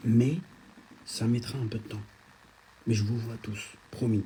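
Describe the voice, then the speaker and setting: A man talks softly at a fairly slow pace. His intonation stays fairly even. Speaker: social media influencer. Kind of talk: live stream chat reading comments. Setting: at a friend's home, Instagram live. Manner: soft-spoken.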